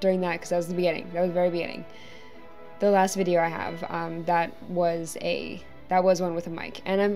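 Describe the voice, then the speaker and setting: Speaking at a very fast pace in a flat monotone, a woman with a fairly low pitch is heard over faint background music. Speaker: video creator. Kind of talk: casual vlog chat. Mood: friendly, a bit apologetic. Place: home room. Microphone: webcam.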